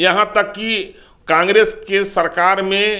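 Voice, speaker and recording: A raised, projected voice, bright and sharp in tone, with monotone, flat intonation. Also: man. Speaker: political party spokesperson. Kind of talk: political statement to press.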